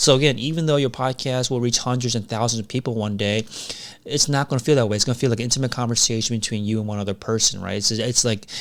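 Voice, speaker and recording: A man at a medium pitch, with a non-native accent, fairly even intonation and a very fast pace. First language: not English. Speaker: podcast coach. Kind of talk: casual talk to camera.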